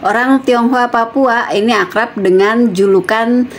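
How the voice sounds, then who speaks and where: A woman talks at a fairly slow pace with ordinary pitch variation while noticeable background noise runs behind her. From West Java (Sukabumi), Chinese-Indonesian. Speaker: YouTuber. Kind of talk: casual vlog storytelling. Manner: casual with fillers.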